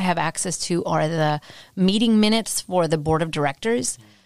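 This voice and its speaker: A woman speaks at a fairly quick pace with an American accent, in an unremarkable speaking voice. The recording is very clean, with a silent background. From US West, San Jose, California. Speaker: history professor. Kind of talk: interview.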